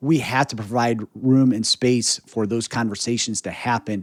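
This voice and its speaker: A man with an American accent and an unremarkable speaking voice talks at a moderate pace. His pitch is medium, and the recording is very clean with a silent background. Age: 40s. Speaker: podcast host. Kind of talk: interview conversation.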